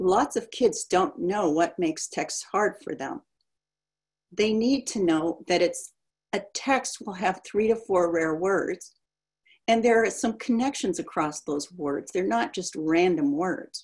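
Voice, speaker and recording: Against a quiet background, a woman speaks at a fairly slow pace. Her intonation is lively. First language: German. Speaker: education researcher. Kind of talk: lecture. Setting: video call. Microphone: webcam.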